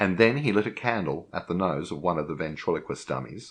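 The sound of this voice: The reading voice sounds unforced.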